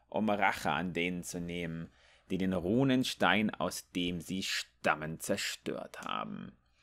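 A man's fairly slow delivery. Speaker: gaming youtuber. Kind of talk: reading out game lore text aloud, in a narration style, with commentary before and after; casual gaming commentary. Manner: casual and chatty, animated.

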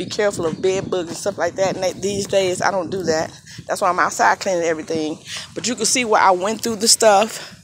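The pace is fairly quick. Background noise is noticeable. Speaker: dumpster diver vlogger. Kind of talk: casual vlog chat. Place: street. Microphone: phone near.

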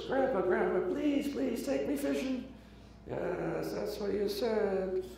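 There is a clear echo around this man's put-on character voice. He speaks at a fairly slow pace with a high pitch. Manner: storytelling, wry.

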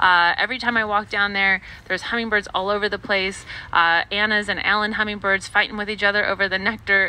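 A woman speaks at a fairly quick pace in a bright, sharp tone, the sound dry with no echo. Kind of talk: tutorial. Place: garden.

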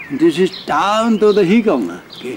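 Light background noise sits behind a man with a Bavarian accent. He speaks at a moderate pace. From Altötting, Bavaria, Germany. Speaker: Second World War veteran, eyewitness. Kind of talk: interview answer. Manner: casual dialect storytelling. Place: garden.

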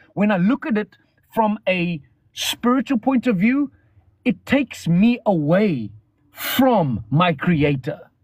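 High-pitched for a man, this male voice sounds dry with no echo over a quiet background. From South Africa. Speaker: live stream host. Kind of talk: casual livestream chat. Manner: animated. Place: car. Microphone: phone near.

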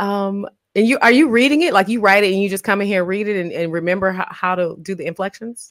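A woman speaks at a very fast pace in an animated tone. The background is quiet. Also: ordinary pitch variation. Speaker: talent show host. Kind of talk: casual livestream chat. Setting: video call. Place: home room. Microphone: studio mic.

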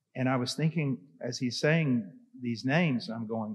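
A man talks at a moderate pace. Nothing much stirs in the quiet background. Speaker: conference panelist. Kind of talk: panel discussion answer. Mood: earnest, anecdotal. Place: hall. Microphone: handheld.

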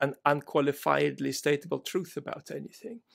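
A man's voice with vocal fry and ordinary pitch variation, at a moderate pace over a quiet background. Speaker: remote podcast guest. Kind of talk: interview answer. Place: home room.

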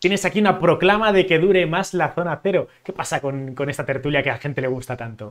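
Lively intonation marks this man's fairly high-pitched voice as he goes at a very fast pace. He takes hardly any pauses, and the background is quiet. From Spain, Zaragoza; Spain. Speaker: YouTube interviewer. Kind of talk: interview. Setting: live stream. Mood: friendly, smiling. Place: home room.

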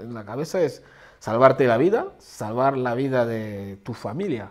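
In a quiet background, a man speaks at a fairly slow pace. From Central African Republic. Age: 30s. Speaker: refugee. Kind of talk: testimony; interview answer. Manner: halting. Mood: earnest, reflective. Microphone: lapel.

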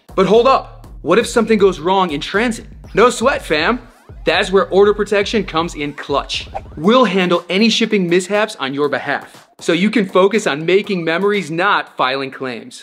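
With music in the background, a man speaks at a moderate pace with lively intonation. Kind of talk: promotional explainer. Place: studio.

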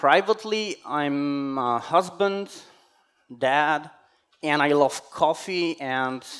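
The pitch of this man's voice varies in an ordinary way. The background is quiet. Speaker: conference speaker. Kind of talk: conference talk. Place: hall.

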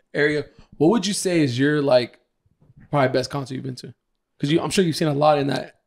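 Talking at a very fast pace, a man with a fairly high pitch shows ordinary pitch variation and big swings in loudness. He leaves long, frequent pauses. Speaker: podcast co-host. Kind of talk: casual chat. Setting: studio with a live audience. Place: home room. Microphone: handheld.

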